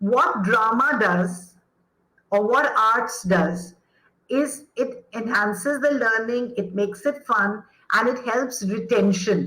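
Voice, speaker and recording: A woman with a fairly high pitch and a passionate tone, at a very slow pace and very even loudness. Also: ordinary pitch variation. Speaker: educator, former actor. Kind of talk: interview answer.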